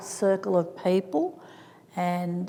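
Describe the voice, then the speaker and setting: A woman speaks at a very slow pace. Noticeable background noise is present. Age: 70s. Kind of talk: symposium talk.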